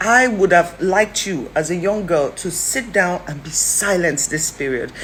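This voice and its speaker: A woman speaks at a fairly low pitch in an animated tone with ordinary pitch variation. Noticeable background noise is present. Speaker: social commentator. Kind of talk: video commentary. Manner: fast.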